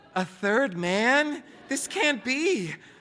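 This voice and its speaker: A man puts on a whiny character voice at an extremely high pitch. His pitch swings very widely. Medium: read story.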